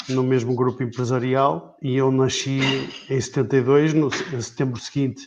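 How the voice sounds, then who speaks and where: A man speaks at a fairly slow pace and medium pitch. His intonation stays fairly even. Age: 40s. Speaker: club board member and accountant. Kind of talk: interview on a live stream. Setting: Facebook live stream. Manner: halting.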